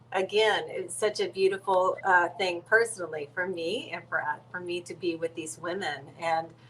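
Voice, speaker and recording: The speaker talks with an American accent and hardly any pauses over noticeable background noise. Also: woman, fairly low pitch for a woman, ordinary pitch variation, moderate pace. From San Antonio, Texas. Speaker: singer and show host. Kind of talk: interview.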